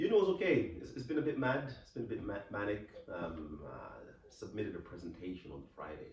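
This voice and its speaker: With audible room echo, a man speaks at a fairly quick pace and shows big swings in loudness. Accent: English. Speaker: podcast co-host. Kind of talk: casual chat.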